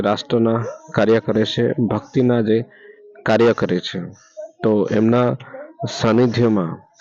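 Noticeable background noise accompanies this man. His intonation stays fairly even at a medium pitch. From Gujarat, India. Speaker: video blogger. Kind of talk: vlog tour narration. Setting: outdoors at village temple at night. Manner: halting.

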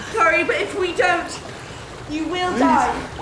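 A woman speaks over noticeable background noise. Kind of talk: drama dialogue. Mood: urgent, distressed. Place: waterside.

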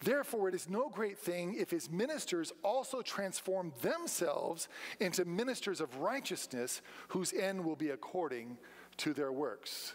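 At a moderate pace, a man speaks with high pitch and very even loudness. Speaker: preacher. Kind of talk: sermon. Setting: church. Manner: rhetorical, engaging questions to congregation, call-and-response; earnest, emphatic, direct appeals. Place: church. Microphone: podium.

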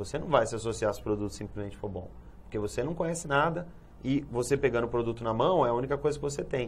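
Talking at a very fast pace, a man with medium pitch shows vocal fry. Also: ordinary pitch variation. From Brazil, São Paulo. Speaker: Amway distributor / businessman. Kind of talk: TV interview answer. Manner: explanatory, conversational. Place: studio. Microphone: lapel.

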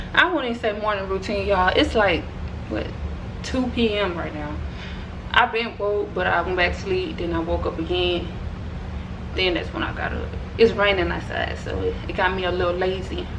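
A woman speaks at a moderate pace with long, frequent pauses. Noticeable background noise is present. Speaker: vlogger. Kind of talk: casual vlog chat. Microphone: camera far.

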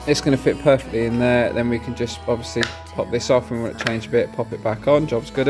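Fairly quick speech over faint background music. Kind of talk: casual show-and-tell explanation. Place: workshop. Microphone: phone near.

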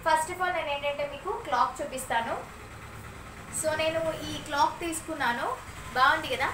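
A raised, projected voice with ordinary pitch variation over noticeable background noise. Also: woman, high pitch for a woman. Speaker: vlogger and mother; vlogger. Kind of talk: casual vlog narration. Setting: at home. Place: home room. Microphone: phone near.

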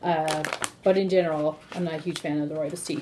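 Noticeable background noise runs under a woman who talks at a fairly quick pace. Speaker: tea seller host. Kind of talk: casual tutorial chat. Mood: friendly, upbeat. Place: kitchen. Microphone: phone near.

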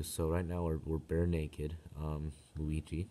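Soft-spoken, a man talks at a fairly slow pace. His very deep, low voice has a dark, mellow tone. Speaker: gamer. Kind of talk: casual gameplay commentary. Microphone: phone near.

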